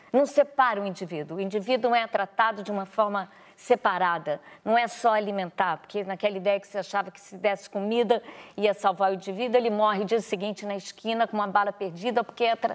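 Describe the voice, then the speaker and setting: A woman talking at a very fast clip, her loudness swinging widely. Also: medium pitch for a woman, fairly even intonation, very clean recording, silent background. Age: 60s. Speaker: actress and director. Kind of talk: TV interview. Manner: halting.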